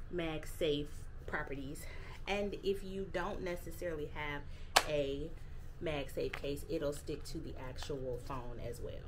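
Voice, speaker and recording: Over noticeable background noise, the speech unfolds at a very slow pace with fairly even intonation. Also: woman. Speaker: lifestyle vlogger. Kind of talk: casual vlog chat. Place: home room. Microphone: phone near.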